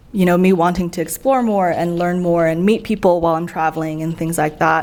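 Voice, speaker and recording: A woman with an American accent, fairly low pitch and fairly even intonation, over noticeable background noise. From US West Coast, San Francisco. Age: 20s. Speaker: traveler, former policy worker. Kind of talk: casual interview chat.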